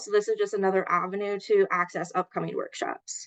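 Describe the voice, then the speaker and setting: A woman speaks at medium pitch. The background is quiet. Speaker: health program coordinator. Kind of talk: online meeting presentation. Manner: fast.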